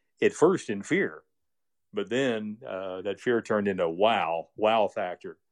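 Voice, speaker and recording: In a normal speaking voice, a man with an American accent speaks at a fairly low pitch with fairly even intonation, the sound dry and close with no echo against a quiet background. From US Midwest. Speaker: radio broadcaster and communications director. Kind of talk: casual interview chat.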